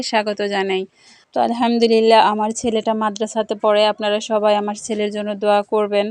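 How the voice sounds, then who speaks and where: A woman speaks at a fairly high pitch with monotone, flat intonation, in a dry, close sound with no echo. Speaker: village vlogger, housewife. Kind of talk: vlog narration. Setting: village kitchen, clay stove.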